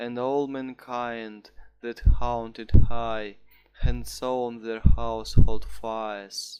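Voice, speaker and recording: Speaking very slowly, a man lets his loudness swing widely. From Russia. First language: Russian. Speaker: student. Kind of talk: poetry reading.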